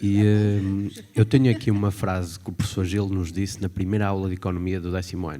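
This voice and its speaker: Here a man speaks at a fairly low pitch with a dark, mellow tone. His intonation is fairly even. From northern Portugal, Guimarães. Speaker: former student, executive assistant. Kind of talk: testimony at event.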